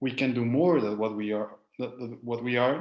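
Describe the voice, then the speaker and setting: Speaking with a Spanish accent, a man talks at a fairly slow pace with fairly even intonation. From Mexico. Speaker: life coach. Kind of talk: lecture. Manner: halting.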